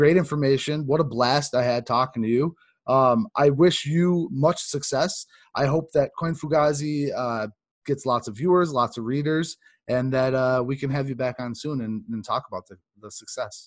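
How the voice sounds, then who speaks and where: In an ordinary speaking voice, a man talks at a fairly high pitch and moderate pace, with ordinary pitch variation and big swings in loudness. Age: 30s. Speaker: podcast host. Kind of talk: casual interview chat.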